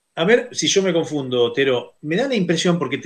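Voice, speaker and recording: A fairly quick pace in a Rioplatense accent. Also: man. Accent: Argentine Rioplatense Spanish. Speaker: radio host. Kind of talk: interview.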